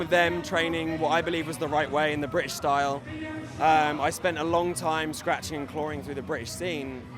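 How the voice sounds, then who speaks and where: A man at a fairly high pitch and fairly quick pace, with ordinary pitch variation, audible room echo, and music in the background. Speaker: professional wrestler. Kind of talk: interview.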